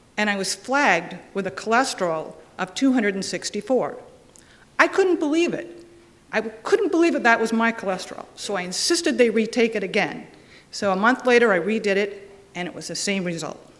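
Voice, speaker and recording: A woman's fairly high voice with very wide pitch swings, over noticeable background noise. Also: fairly quick pace. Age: 50s. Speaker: patient advocate. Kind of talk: testimony.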